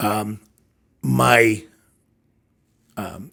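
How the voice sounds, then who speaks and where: This is a man speaking at a medium pitch. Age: 60s. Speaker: leadership consultant and CEO. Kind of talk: podcast interview. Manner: hesitant, with many fillers.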